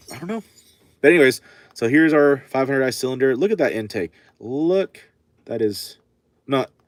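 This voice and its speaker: A man speaks at a fairly quick pace with lively intonation and a medium pitch. The sound is dry and close, with no echo. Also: long, frequent pauses. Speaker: chainsaw repair livestreamer. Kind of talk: casual livestream chat while working. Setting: workshop livestream. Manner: fast when excited.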